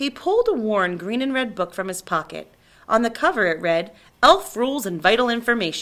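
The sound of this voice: With lively intonation, the delivery is an unforced reading voice.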